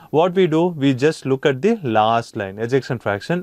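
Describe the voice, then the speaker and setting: A man with an Indian accent speaks at a moderate pace in a medium pitch and lively intonation. The background is quiet and the sound dry with no echo. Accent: Indian English (Tamil). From India, Chennai. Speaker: anesthesia lecturer. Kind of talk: lecture.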